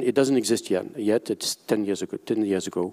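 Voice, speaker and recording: In a dry, close sound with no echo, a man of medium pitch talks at a moderate pace with ordinary pitch variation. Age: 60s. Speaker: IP valuation expert, conference panelist. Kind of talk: conference panel presentation. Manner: halting, many fillers and restarts.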